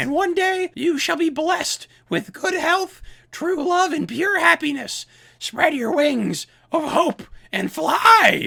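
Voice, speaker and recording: A put-on character voice, high in pitch, at a fairly slow pace. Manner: mock-inspirational, theatrical.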